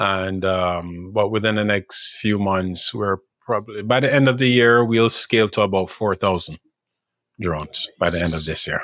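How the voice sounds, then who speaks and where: A man with a Jamaican accent, fairly low pitch, ordinary pitch variation and a moderate pace. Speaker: drone show company executive. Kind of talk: podcast interview. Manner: halting, repeats words.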